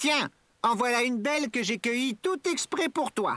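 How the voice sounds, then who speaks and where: A fairly high-pitched, put-on character voice at a moderate pace. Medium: read story. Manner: bright, cheerful.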